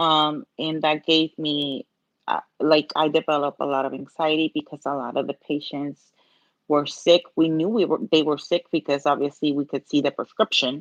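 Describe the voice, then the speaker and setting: In a Puerto Rican accent, a woman with a very deep, low pitch speaks at a moderate pace and fairly even intonation, the sound dry and close with no echo over a quiet background. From Puerto Rico. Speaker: nail art content creator, pharmacy technician. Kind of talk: live-stream tutorial chat.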